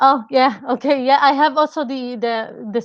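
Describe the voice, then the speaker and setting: A woman speaks with a non-native accent. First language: not English. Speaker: data science project collaborator. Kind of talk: webinar presentation. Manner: halting, many fillers.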